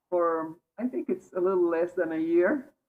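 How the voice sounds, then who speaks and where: A woman speaks in a strong Bolivian accent at a fairly slow pace. Her pitch is fairly low and her intonation fairly even. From Bolivia, Cochabamba. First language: Spanish. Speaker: meditation participant. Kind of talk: casual chat.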